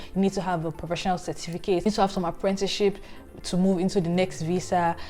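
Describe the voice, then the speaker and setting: A woman with a Nigerian accent and a dark, mellow tone, talking at a very fast pace. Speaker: career vlogger. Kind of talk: vlog advice.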